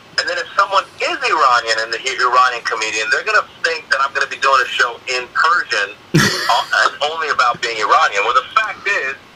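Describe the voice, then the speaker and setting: A man speaks fairly quickly while noticeable noise fills the background. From Iranian American. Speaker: stand-up comedian. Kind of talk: interview answer.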